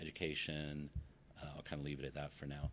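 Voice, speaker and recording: A man talks at a fairly quick pace. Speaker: academic researcher. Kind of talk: conference talk. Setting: presentation with audience. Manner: halting, many fillers.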